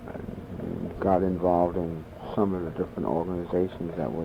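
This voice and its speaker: An American accent comes from a man with a very deep, low pitch and fairly even intonation, heard over noticeable background noise. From New York City. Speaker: oral history interviewee. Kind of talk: interview. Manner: halting.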